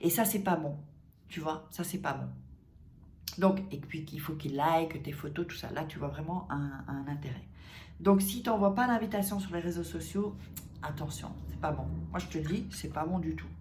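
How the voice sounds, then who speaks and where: A woman with a very deep, low pitch and vocal fry talks in an animated tone at a moderate pace, leaving long, frequent pauses, with audible room echo. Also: ordinary pitch variation. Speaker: dating coach youtuber. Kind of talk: casual advice vlog. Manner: animated, conversational with many fillers.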